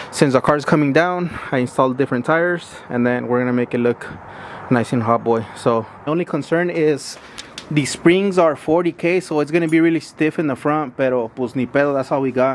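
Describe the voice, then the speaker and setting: Noticeable background noise sits behind the voice. A man with a fairly high pitch talks at a fairly quick pace. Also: ordinary pitch variation. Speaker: car enthusiast vlogger. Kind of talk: casual garage vlog. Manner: fast.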